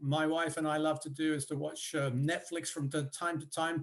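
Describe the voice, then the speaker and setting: Speaking with a British accent, a man talks in a fairly high pitch. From United Kingdom. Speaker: professor. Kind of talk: panel discussion. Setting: video call. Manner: halting, many fillers.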